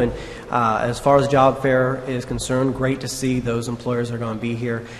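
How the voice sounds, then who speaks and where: A man with an American accent at a medium pitch, over light background noise. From US Midwest. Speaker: town council president. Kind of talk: council meeting chairing. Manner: formal. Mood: warm, appreciative. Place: hall. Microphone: podium.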